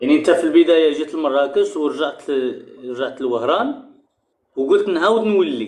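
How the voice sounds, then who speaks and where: A man's fairly high-pitched, normal speaking voice with lively intonation. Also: moderate pace. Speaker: interviewer. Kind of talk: interview.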